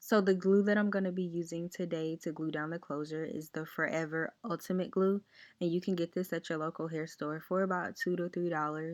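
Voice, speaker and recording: In a plain, everyday voice with an American accent, a woman speaks at a fairly quick pace with a fairly low pitch and fairly even intonation. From Southern US. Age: 20s. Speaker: beauty vlogger. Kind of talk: hair tutorial talk to camera. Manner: casual, friendly.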